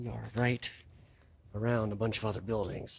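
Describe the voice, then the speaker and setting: Somewhat breathy, a man speaks at a moderate pace. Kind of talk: casual vlog commentary. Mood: excited, amazed. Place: hall. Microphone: phone near.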